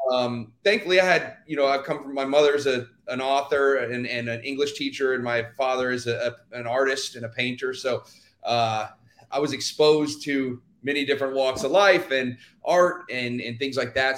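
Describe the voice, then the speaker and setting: A man speaks at a moderate pace and medium pitch in an unremarkable speaking voice. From Texas, Houston. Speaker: dancer and actor. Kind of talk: casual interview. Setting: live stream.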